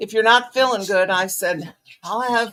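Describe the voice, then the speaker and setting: The woman's pitch is fairly high, with ordinary variation. She speaks at a fairly slow pace. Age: 60s. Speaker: crochet livestream host. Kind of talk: casual chat. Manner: rambling, halting.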